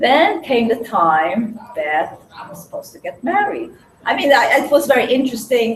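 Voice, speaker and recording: A woman at a moderate pace, with noticeable background noise behind her. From Hungarian-born, raised in Williamsburg, Brooklyn. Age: 60s. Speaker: speaker sharing life story. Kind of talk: personal testimony to a small group. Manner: halting.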